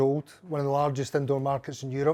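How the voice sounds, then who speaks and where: A man with a Glaswegian accent speaks at a very fast pace. His voice sits at a fairly high pitch. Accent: Glaswegian Scottish. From Scotland, Glasgow. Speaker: pub owner. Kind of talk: casual interview. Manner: halting.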